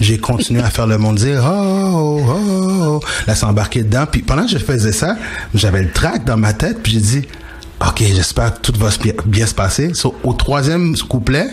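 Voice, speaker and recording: Over noticeable background noise, a man of medium pitch talks at a moderate pace with very wide pitch swings. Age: 40s. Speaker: speaker, radio host and DJ. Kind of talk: radio interview. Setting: radio studio. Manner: expressive.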